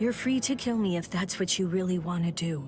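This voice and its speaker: A female-sounding voice delivers a put-on character voice at medium pitch for a woman and a fairly quick pace. Clear music plays in the background. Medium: video game. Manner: calm, solemn.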